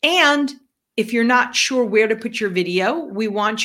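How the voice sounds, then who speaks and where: This woman's intonation is lively as she talks at a moderate pace. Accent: New York. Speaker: business podcast co-host. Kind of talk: casual chat.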